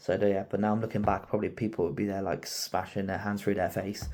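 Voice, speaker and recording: Quiet and very fast, a man talks in a dark, mellow tone with a fairly low pitch. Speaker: car project youtuber, qualified mechanic. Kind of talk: casual video outro. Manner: halting, filler-heavy.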